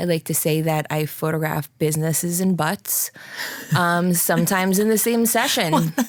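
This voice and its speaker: With ordinary pitch variation, a woman speaks in a fairly low register. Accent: New Jersey. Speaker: photographer. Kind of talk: casual interview chat. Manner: animated.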